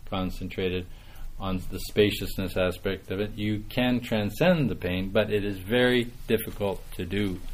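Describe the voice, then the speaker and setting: A man with a Canadian prairie accent speaks at a fairly slow pace. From Saskatchewan, Canada. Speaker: meditation teacher. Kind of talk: dharma talk. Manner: animated.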